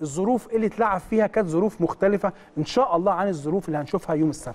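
Speaking at a very fast pace, the man has a dark, mellow tone. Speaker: football analyst. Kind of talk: studio match analysis. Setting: studio.

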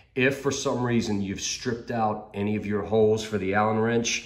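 A man with an unremarkable speaking voice, fairly low pitch and fairly even intonation, against a quiet background. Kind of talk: tutorial. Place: garage. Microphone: phone near.

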